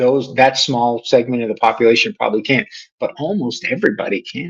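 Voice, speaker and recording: With medium pitch and ordinary pitch variation, a man talks at a moderate pace. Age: 60s. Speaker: podcast host. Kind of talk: solo podcast monologue. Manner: casual, with many fillers.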